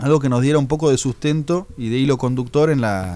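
The voice of a man comes through a very clean recording with a silent background. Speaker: jazz musician. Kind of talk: radio interview. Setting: radio studio.

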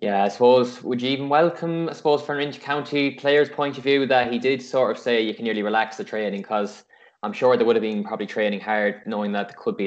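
A man with an Irish accent talks at a very fast pace with ordinary pitch variation. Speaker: podcast host. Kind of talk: casual interview.

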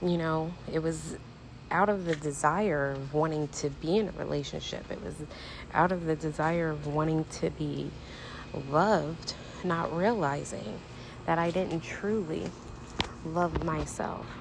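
A woman speaks fairly slowly in a very deep, low pitch with fairly even intonation. Long, frequent pauses break up her words, and audible room echo surrounds her. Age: 40s. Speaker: podcast host. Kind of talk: personal monologue.

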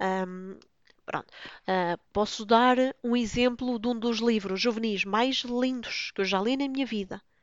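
The woman talks very slowly. Her pitch shows little rise and fall. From Lisbon, Portugal. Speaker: book blogger, podcaster. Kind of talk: casual solo monologue.

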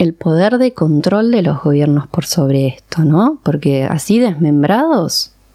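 Talking at a fairly slow pace, a woman uses a fairly low pitch and a dark, mellow tone, with very wide pitch swings. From Argentina (born in Iran, moved at age 4). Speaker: psychoanalyst. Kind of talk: interview. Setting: studio.

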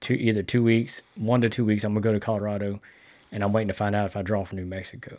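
Here a man talks very fast in a southeast Texas accent. His fairly low voice stays monotone, with flat intonation. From Texas, Sour Lake (southeast Texas). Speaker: firefighter and public-land hunter. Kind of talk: casual chat.

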